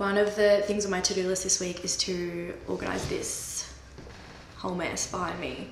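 Audible room echo and light background noise accompany a woman talking at a fairly slow pace. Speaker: vlogger. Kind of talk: casual vlog chat. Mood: relaxed, joking. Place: workshop. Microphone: camera far.

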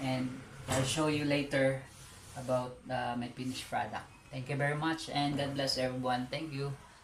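A man talks at a moderate pace with a medium pitch and monotone, flat intonation. Noticeable background noise and audible room echo surround him. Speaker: small food business owner and vlogger. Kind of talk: casual vlog. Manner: halting, with many fillers.

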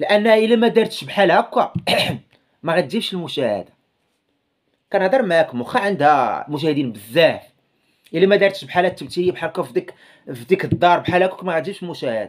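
A man with a Moroccan accent speaks at a high pitch with lively intonation. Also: fairly quick pace, quiet background. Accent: Moroccan Darija. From Morocco. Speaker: YouTuber commentator. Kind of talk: casual video commentary. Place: home room. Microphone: phone near.

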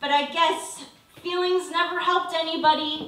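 A raised, projected voice carries over noticeable background noise. Audible room echo surrounds it. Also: woman. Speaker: slam poet. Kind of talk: poem performance. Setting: stage with audience. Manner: emphatic, rhythmic spoken-word delivery with mock-valley-girl fillers. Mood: sarcastic, passionate. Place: stage.

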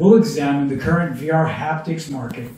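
Over music in the background, a man talks at a fairly slow pace with audible room echo. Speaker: presenter. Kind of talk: presentation. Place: hall.

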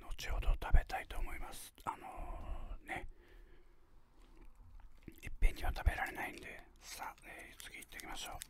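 A man whispers with big swings in loudness and long, frequent pauses. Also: moderate pace. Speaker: ASMR unboxing host. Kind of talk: ASMR whispered unboxing. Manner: whispered. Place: home room. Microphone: studio mic.

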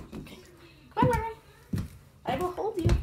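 Over noticeable background noise, a put-on character voice rattles along at a very fast pace, squeaky and extremely high-pitched. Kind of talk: casual talk to a pet. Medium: short film. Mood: urgent, coaxing.

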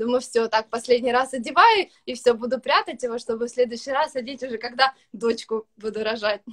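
A woman speaks at a high pitch and a fairly quick pace. Her intonation stays fairly even over a quiet background. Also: hardly any pauses. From Ukraine, Kryvyi Rih; Ukraine. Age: 20s. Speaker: young mother, student; interviewee. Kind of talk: interview testimony. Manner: hesitant with fillers. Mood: relaxed, positive. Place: home room. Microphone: video call.

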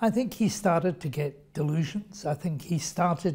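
This man's voice is dark and mellow, pitched high for a man, with ordinary pitch variation. He talks at a moderate pace against a quiet background. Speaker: interview guest. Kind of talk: interview answer. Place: meeting room. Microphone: lapel.

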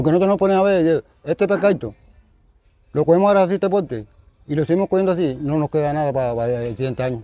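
Faint music plays behind a man talking at a very fast pace with lively intonation and a fairly high pitch. The sound is dry with no echo. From Colombian Caribbean coast, Atlántico. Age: 70s. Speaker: artisanal fisherman. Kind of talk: storytelling interview. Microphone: lapel.

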